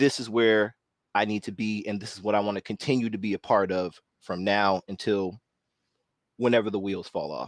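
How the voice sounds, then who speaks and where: In an unremarkable speaking voice, a man talks at a moderate pace with fairly low pitch and fairly even intonation, the sound dry and close with no echo. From northern California. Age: 30s. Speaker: panel discussion host. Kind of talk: roundtable discussion.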